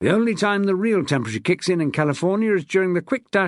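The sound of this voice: An unforced reading voice carries the recording.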